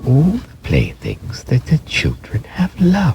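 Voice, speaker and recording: This is a man. He speaks in a put-on character voice. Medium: read story. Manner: gentle, tender.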